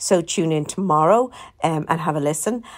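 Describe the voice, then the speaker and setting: An Irish accent with very wide pitch swings, in a very clean recording with a silent background. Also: woman. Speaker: podcast host and documentary maker. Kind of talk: casual announcement. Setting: hotel room. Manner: hesitant, many fillers.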